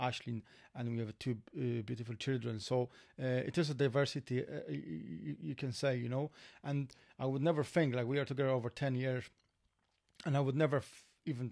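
A man at a medium pitch with a Polish accent, ordinary pitch variation and a fairly quick pace. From Poland. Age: 40s. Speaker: former security worker, immigrant. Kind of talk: casual chat.

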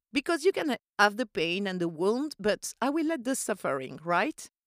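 A woman speaks at a fairly high pitch in a French accent, her tone animated and her pitch swinging very widely. The recording is dry and close with no echo, very clean, over a silent background. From Corsica. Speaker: podcast host and voiceover artist. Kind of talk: solo podcast monologue, casual chat. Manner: animated, friendly.

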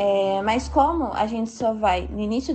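An unremarkable speaking voice from a woman, fairly high-pitched, with ordinary pitch variation. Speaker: architecture student. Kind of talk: recorded testimony.

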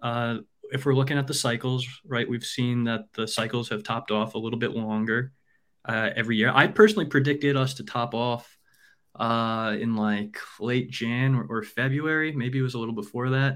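A man speaks in a plain, everyday voice at a moderate pace, medium in pitch with fairly even intonation, on a very clean recording against a silent background. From New York. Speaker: app developer. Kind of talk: casual chat.

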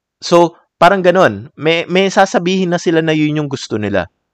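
Against a quiet background, a man with a high pitch and lively intonation talks at a fairly slow pace in a dry, close sound with no echo. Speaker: art podcast host and artist. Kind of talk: solo podcast monologue. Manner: relaxed, calm.

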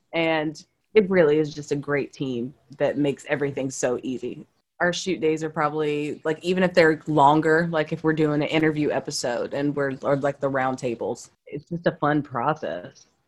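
A woman's very deep, low pitch at a moderate pace, with fairly even intonation. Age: 30s. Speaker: actor and show host. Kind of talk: casual chat.

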